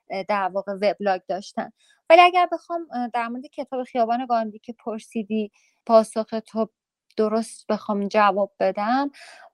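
A woman speaks at a moderate pace with lively intonation and big swings in loudness, in a dry, close sound with no echo and a quiet background. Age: 40s. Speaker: journalist and writer. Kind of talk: interview.

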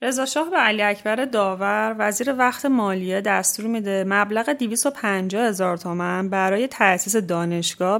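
Speaking at a moderate pace, a woman uses a normal speaking voice at a medium pitch with ordinary pitch variation. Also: hardly any pauses. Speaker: radio show presenter. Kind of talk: scripted narration.

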